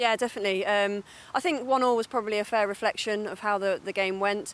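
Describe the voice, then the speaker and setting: Speaking at a very fast pace, a woman keeps her intonation fairly even. Her pitch is medium. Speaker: former international hockey player, TV pundit. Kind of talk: TV sport analysis.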